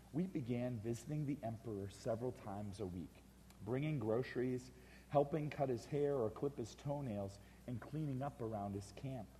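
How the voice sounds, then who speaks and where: Medium in pitch with a dark, mellow tone, this man speaks in a somewhat breathy way at a moderate speed and with ordinary pitch variation. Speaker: author and speaker telling a personal story, one of the roadshow authors. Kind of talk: storytelling / personal anecdote from a book, spoken to an audience.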